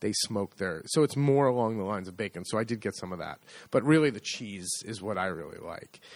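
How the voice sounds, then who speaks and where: A man talks at a fairly quick pace with a fairly low pitch. His loudness swings widely. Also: ordinary pitch variation, very clean recording, silent background. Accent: American. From United States. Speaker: podcast co-host, agriturismo owner. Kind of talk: casual chat.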